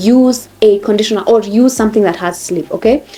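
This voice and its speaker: A woman with a fairly high pitch speaks at a moderate pace with ordinary pitch variation over noticeable background noise. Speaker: hair care vlogger. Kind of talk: tutorial. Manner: animated.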